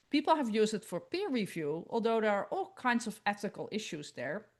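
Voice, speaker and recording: Against a quiet background, a woman speaks at a fairly quick pace with a medium pitch and lively intonation. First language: not English. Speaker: research integrity expert. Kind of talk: conference presentation.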